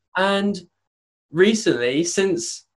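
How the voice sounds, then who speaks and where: A man speaks with a British accent and fairly even intonation. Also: quiet background. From UK. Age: young. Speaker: brand designer. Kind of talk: casual interview.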